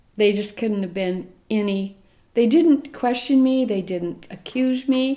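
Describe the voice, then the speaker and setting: A woman's fairly high, dark and mellow voice with a Midwestern American accent. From US Midwest, rural Nebraska. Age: 70s. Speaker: grandmother interviewed about adoption. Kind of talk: interview, personal testimony. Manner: halting, with restarts.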